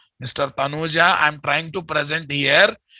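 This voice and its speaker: Against a quiet background, a man with an Indian accent speaks at a moderate pace in a bright, sharp tone with monotone, flat intonation. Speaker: software trainer. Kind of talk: lecture. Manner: repetitive, emphatic.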